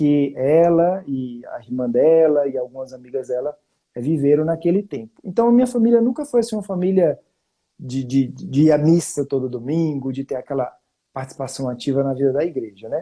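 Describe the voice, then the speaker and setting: A man with a strong northeastern Brazilian accent, fairly high-pitched, dark and mellow in tone, with lively intonation at a moderate pace. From Brazil, Fortaleza (Northeast). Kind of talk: testimony. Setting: online live stream. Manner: conversational with frequent fillers.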